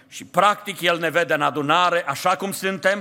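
The man's tone is bright and sharp. He raises and projects his voice at a fairly slow pace. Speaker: pastor. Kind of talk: sermon. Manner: impassioned.

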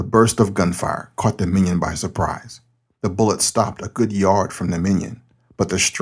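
Quiet background behind a natural reading voice

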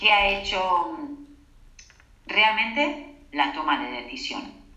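A woman speaks at a very slow pace. Audible room echo and noticeable background noise are in the recording. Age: 40s. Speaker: holistic therapist and author. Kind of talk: interview.

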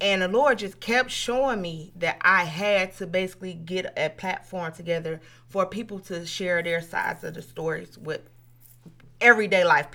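A woman speaks at medium pitch and a moderate pace with a bright, sharp tone, ordinary pitch variation, and big swings in loudness. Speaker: podcast host and youth mentor. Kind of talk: casual chat. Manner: animated.

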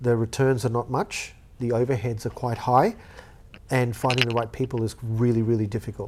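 A man with an Australian accent at a fairly quick pace, in monotone, flat intonation. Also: medium pitch for a man. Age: 40s. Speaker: former cafe owner and studio owner. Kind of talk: casual interview.

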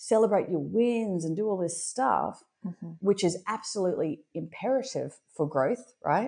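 With an Australian accent, a woman speaks in a dark, mellow tone with lively intonation over a quiet background. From Brisbane, Australia. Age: 40s. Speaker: entrepreneur. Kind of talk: casual chat.

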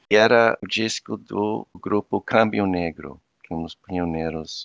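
The speaker has an American accent and ordinary pitch variation, recorded dry and close with no echo. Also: man. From US, Virginia Beach. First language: English (speaking Portuguese). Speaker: anthropology professor. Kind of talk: interview conversation. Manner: halting.

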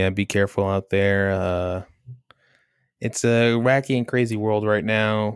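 In a very clean recording with a silent background, a man talks at a fairly low pitch and a fairly slow pace. He has a normal speaking voice with fairly even intonation. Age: 20s. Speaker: podcast co-host. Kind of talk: casual chat.

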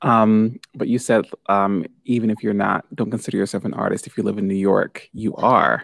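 A man in an ordinary speaking voice talks at a moderate pace with a fairly low pitch and fairly even intonation, the sound dry and close with no echo. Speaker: podcast co-host and yoga guide. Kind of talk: guided meditation. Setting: live stream. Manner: calm, soothing.

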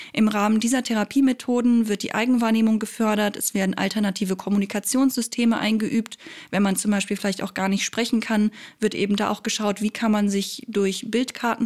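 A woman speaks at a fairly quick pace in a fairly high, somewhat breathy voice. Her intonation is monotone and flat. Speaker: psychology podcast host. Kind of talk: scripted explainer monologue.

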